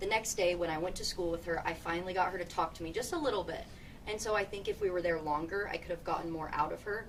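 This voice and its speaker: Against noticeable background noise, a woman with a fairly low pitch talks at a very fast pace with fairly even intonation. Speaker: journalism student. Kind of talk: panel discussion.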